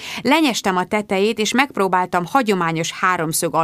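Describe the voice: Someone simply reads aloud in a plain way.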